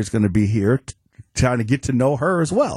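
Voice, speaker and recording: A man speaks at a moderate pace in a somewhat breathy voice. The sound is dry and close with no echo, over a quiet background. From Chicago. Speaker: former judge, guest co-host. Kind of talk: casual chat. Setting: radio studio.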